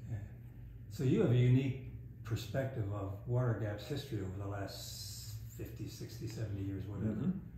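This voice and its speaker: A fairly low-pitched man at a fairly quick pace, intonation lively, over noticeable background noise. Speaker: retired history professor, interviewer. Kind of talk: interview questions.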